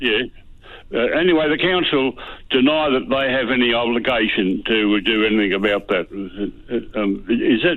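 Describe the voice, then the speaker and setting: With an Australian accent, a man speaks at a medium pitch and moderate pace, his intonation lively and his loudness very even. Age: 80s+. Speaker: caller. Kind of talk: phone-in question. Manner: halting, stammering.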